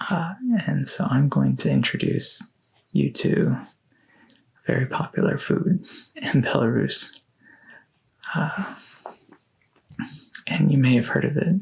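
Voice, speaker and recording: Soft-spoken, a man moves at a fairly slow pace. He leaves long, frequent pauses. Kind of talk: ASMR soft-spoken talk.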